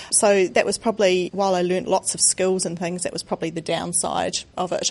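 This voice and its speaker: A woman with a slight New Zealand accent talks at a very fast pace in a monotone, flat intonation. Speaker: charity founder, former executive. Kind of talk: live interview. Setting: stage with live audience.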